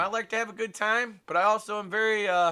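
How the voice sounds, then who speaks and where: A raised, projected voice with a bright, sharp tone and lively intonation in an American accent. The recording is very clean, with a silent background. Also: man. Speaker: small media business owner and amateur filmmaker. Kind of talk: casual vlog monologue.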